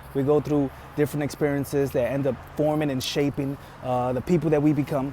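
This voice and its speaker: Over noticeable background noise, a man with a fairly high pitch speaks at a very fast pace with monotone, flat intonation. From Bronx, New York, then Florida from age eleven; Dominican family. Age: 30s. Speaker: army veteran and car salesman. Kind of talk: audition video monologue. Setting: car dealership. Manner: casual, filler-heavy.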